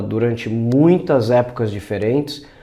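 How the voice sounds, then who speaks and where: A man talks at a fairly slow pace in a Brazilian accent. His tone is dark and mellow, with ordinary pitch variation. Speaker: language teacher. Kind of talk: educational narration.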